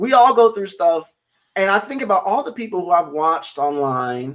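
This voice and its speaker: Very wide pitch swings and an animated tone at a fairly quick pace, with an American accent. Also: man. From US Midwest (Northwest Indiana). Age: 20s. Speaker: digital marketer and speaker. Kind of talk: interview. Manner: fast.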